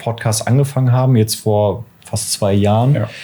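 Slowing to a fairly slow pace, a man speaks at a fairly low pitch with a dark, mellow tone and fairly even intonation. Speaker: podcast co-host. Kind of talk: casual interview. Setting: record shop.

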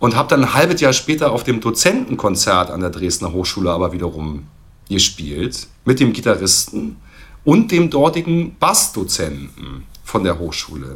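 In a very clean recording with a silent background, a man talks at a moderate pace. His very deep, low voice swings widely in pitch and carries vocal fry. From East Berlin. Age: 40s. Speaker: drummer. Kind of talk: casual chat.

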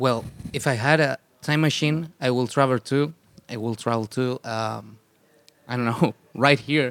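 A man's medium-pitched voice in a Spanish accent, fairly even in intonation, with long, frequent pauses and a dry, close sound with no echo. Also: moderate pace. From Chile. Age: 30s. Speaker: punk rock musician. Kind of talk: casual interview. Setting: festival radio studio.

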